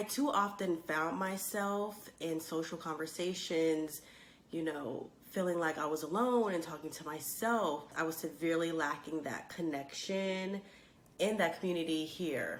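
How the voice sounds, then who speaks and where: Over noticeable background noise, a woman's pitch shifts in an ordinary way as she talks. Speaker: space and astronomy YouTuber. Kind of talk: casual talk to camera.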